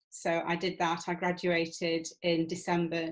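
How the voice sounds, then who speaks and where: Recorded very cleanly against a silent background, a woman with a northern English accent speaks fairly slowly in a fairly low, monotone, flat voice. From England. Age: 60s. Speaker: retired manager turned PhD student. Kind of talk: interview. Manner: hesitant with fillers.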